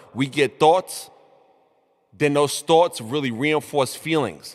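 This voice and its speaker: Animated in tone, a man with a New York accent speaks at a fairly high pitch. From New York, Brooklyn. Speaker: motivational show host. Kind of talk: motivational talk. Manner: mumbling.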